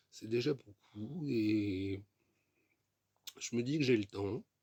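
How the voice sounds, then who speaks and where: A man speaks with a somewhat breathy voice. His pitch is medium and varies in an ordinary way. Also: dry, close sound with no echo. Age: 30s. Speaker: vlogger. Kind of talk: casual vlog monologue. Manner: repetitive, hesitant with fillers.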